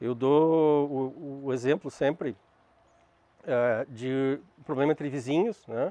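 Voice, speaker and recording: A man talks very slowly in a fairly high pitch with ordinary pitch variation and long, frequent pauses. His tone is dark and mellow, the sound dry and close with no echo, over a quiet background. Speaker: lecturer on restorative justice. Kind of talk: lecture. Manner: halting.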